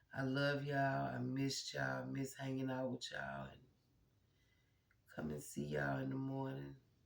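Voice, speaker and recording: A man pauses long and often while talking at a moderate speed, with audible echo from the room. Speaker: vlogger. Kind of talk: casual chat.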